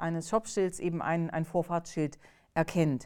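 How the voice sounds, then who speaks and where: Speech unfolds at a moderate pace. The recording is very clean, and the background is silent. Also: woman. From East Germany, Magdeburg. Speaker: AI ethics researcher. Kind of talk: interview. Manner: halting, many fillers.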